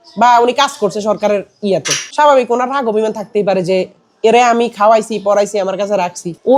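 A man with a high pitch and ordinary pitch variation. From Bangladesh, Noakhali. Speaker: content creator team member. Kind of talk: interview.

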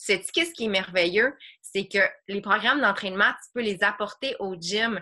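In a Quebec accent, a woman talks at a fairly slow pace with a bright, sharp tone. Her pitch variation is ordinary, and the background is quiet. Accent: Québécois French. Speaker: online fitness coach. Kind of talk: group coaching video call. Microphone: video call.

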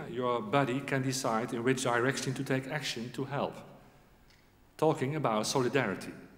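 A man talks at a moderate pace. Audible room echo fills the recording. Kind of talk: formal ceremony speech. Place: hall. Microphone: podium.

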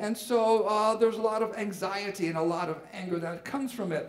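Over a quiet background with audible room echo, a man speaks with ordinary pitch variation. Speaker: pastor. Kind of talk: sermon. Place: church. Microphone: headset.

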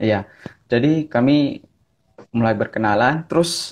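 A man is the one talking. The pitch shifts in an ordinary way. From Ambon, Maluku, Indonesia. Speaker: pastor. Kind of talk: casual chat. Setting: video call. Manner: energetic. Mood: relaxed, smiling. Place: home room. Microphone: earbuds.

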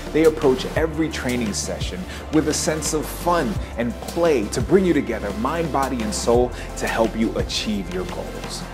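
Clear background music under a man speaking at a moderate pace. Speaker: video review host. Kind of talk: upbeat promotional business review to camera. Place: hall. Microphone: lapel.

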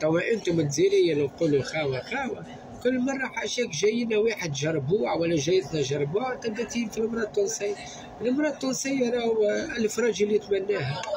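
With a Tunisian accent, a man talks at a fairly quick pace in a high pitch. His pitch swings very widely, and there is noticeable background noise. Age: young. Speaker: social media vlogger. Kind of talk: angry rant to camera. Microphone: phone near.

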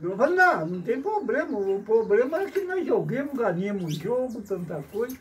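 A man speaks at a fairly slow pace with lively intonation. Light background noise can be heard. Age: old. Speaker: retired amateur footballer; storyteller. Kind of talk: storytelling interview. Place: farm machine. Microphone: phone near.

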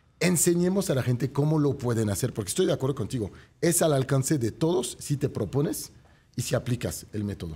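A man talks at a fairly quick pace. His tone is dark and mellow, somewhat breathy. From France. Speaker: real estate show host. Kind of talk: motivational sales pitch; talk show interview. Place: studio. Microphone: studio mic.

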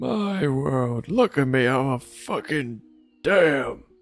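A man puts on a character voice at a medium pitch, with very wide pitch swings. Faint music plays in the background. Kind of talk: comic overacting. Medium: game stream. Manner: crotchety, rambling, foul-mouthed.

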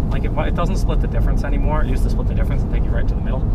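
The sound is dry with no echo, though loud background noise is present. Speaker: driver demonstrating driver-assist software. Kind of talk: casual explanatory chat. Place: car. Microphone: camera far.

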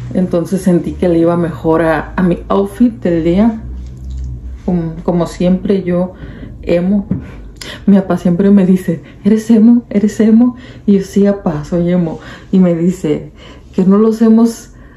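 A woman speaks at a fairly slow pace, leaving long, frequent pauses. Her intonation stays fairly even over light background noise. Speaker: vlogger. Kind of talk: casual vlog chat. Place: home room. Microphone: phone near.

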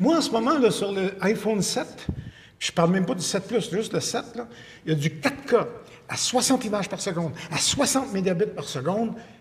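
A man's high-pitched voice with a Quebec accent. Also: lively intonation, moderate pace. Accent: Québécois French. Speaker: video production expert; interview guest. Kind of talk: casual chat. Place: studio.

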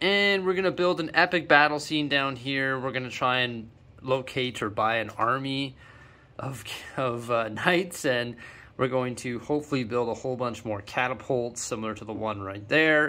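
A man speaks at a moderate pace in a bright, sharp tone, with ordinary pitch variation. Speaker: LEGO hobby vlogger. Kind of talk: casual vlog chat. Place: home room. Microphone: phone near.

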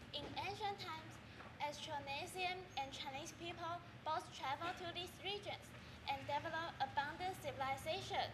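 Over loud background noise, a woman does a robotic put-on character voice at an extremely high pitch and a moderate pace. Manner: robotic, monotone.

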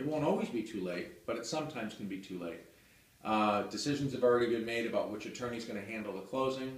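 In an American accent, a man speaks very fast with lively intonation, with audible room echo. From New Hampshire, US (Hudson, near Nashua); New Hampshire. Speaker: real estate attorney. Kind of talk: promotional monologue to camera. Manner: halting, many fillers. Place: office. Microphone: camera far.

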